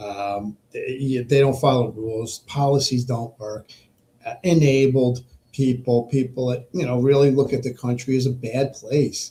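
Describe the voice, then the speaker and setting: Somewhat breathy, with a dark, mellow tone, a man talks at a fairly slow pace with fairly even intonation. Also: medium pitch for a man. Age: 60s. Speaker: podcast host. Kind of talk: political monologue. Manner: halting, many repetitions and fillers.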